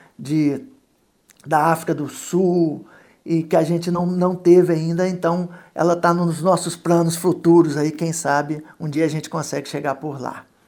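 In a Minas Gerais accent, a man speaks fairly slowly, his fairly high pitch held in a fairly even intonation. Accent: Minas Gerais (mineiro) accent, still present. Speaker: photographer. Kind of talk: radio interview.

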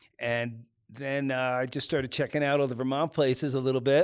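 On a very clean recording with a silent background, a man with an American accent talks at a fairly quick pace in a medium pitch with monotone, flat intonation. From US Northeast, New York suburbs. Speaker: ski photographer. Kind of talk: casual interview.

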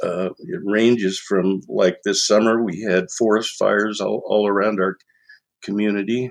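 A man with an American accent, a fairly low pitch, fairly even intonation and a fairly slow pace. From Oregon. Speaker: retired newspaper editor. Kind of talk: interview. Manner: halting.

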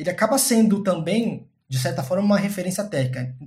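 Lively intonation marks a man's speech, heard with audible room echo. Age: 30s. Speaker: data science team lead. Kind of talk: interview. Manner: halting.

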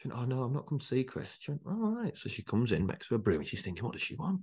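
Against a quiet background, a man with a northern English accent talks with lively intonation. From northern England, Rochdale area. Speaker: entrepreneur. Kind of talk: casual chat. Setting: outdoors.

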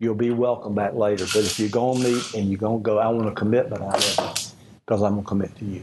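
The speech runs at a very fast pace with fairly even intonation. Noticeable background noise sits underneath. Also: man, fairly low pitch for a man. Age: 70s. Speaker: ministry leader. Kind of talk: talk to a group. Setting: lunch gathering with small audience.

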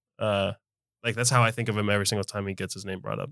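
A man's ordinary speaking voice, fairly low in pitch, with fairly even intonation. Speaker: podcast co-host. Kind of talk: casual banter.

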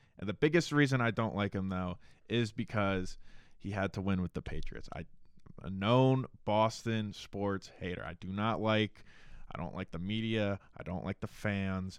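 Against a quiet background, a man with an American accent talks at a moderate pace in an ordinary speaking voice, fairly low in pitch with ordinary pitch variation. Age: 20s. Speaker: sports podcast co-host. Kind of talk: casual sports chat.

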